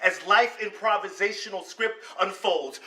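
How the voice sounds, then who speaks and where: Noticeable background noise beneath a man's raised, projected voice. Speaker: slam poet. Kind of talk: slam poetry performance.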